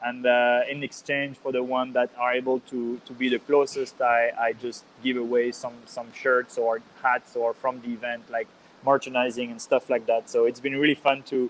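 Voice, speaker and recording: A man with a medium pitch speaks in a Swiss French accent at a moderate pace, his intonation monotone and flat. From Geneva, Switzerland. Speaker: ice cross athlete. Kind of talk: podcast interview. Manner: halting, many fillers and repetitions.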